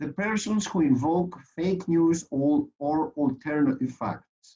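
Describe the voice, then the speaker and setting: A man speaks with a Greek accent. His voice is somewhat breathy. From Greece. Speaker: lawyer and conference speaker. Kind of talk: conference presentation. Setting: online conference.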